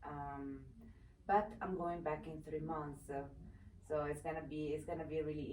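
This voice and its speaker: A woman speaks in an Italian accent with a very deep, low pitch. Noticeable background noise and audible room echo fill the recording. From Italy, Vicenza. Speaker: former TV personality and advocate. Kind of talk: interview. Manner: halting, many fillers.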